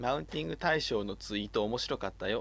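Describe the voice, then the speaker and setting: Very fast and full of vocal fry, a man's speech has lively intonation. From Kyushu, Japan. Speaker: podcast host. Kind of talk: casual chat.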